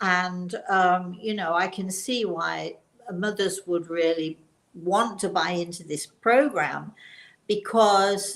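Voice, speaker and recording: In a British accent, a woman with a medium pitch talks at a very slow pace, her intonation fairly even. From England. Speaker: talk show co-host. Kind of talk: casual chat. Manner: halting.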